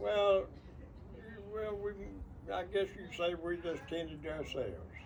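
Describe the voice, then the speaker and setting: Noticeable background noise sits behind a man who speaks with an East Texas accent. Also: fairly slow pace. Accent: East Texas Southern. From rural East Texas. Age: 80s+. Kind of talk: interview answer.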